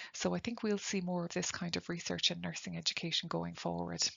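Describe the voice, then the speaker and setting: Talking at a very fast pace, a woman speaks with an Irish accent. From Ireland. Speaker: nursing lecturer. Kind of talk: webinar lecture.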